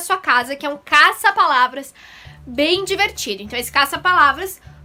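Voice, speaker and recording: A woman with a Curitiba accent uses a raised, projected voice with a bright, sharp tone. Her pace is moderate. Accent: southern Brazilian (Curitiba) Portuguese. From southern Brazil. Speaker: primary school teacher. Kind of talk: recorded online lesson.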